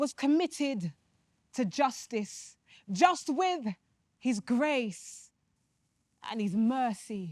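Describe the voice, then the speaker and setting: A woman's high-pitched voice at a very slow pace, with very wide pitch swings and long, frequent pauses. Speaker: spoken word poet. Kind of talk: spoken word poetry reading; religious reflection.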